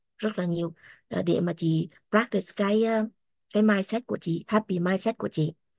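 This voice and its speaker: A woman talks at a moderate pace and a medium pitch. The sound is dry and close with no echo, over a quiet background. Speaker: guest sharing her life story. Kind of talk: casual chat.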